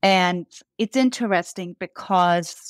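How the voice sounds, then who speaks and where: On a very clean recording with a silent background and a dry, close sound with no echo, a woman with a fairly low pitch speaks at a fairly slow pace. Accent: slight Danish. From Denmark. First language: Danish. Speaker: brand founder and CEO. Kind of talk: podcast interview. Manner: repeats words when starting sentences.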